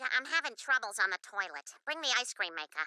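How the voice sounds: This cartoonish character voice races along at a very fast pace. Its pitch swings very widely. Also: female-sounding voice.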